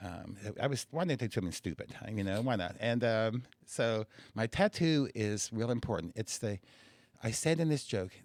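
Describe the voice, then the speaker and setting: A man with a normal speaking voice, medium pitch and lively intonation at a fairly quick pace, in a dry, close sound with no echo. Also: very clean recording, silent background. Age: 60s. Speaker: stand-up comedian. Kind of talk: casual chat.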